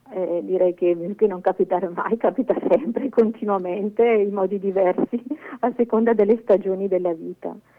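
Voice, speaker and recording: Noticeable background noise sits under a woman's medium-pitched voice. She keeps a moderate pace and fairly even intonation. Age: 50s. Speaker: cloistered nun. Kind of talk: testimony. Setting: phone call. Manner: halting.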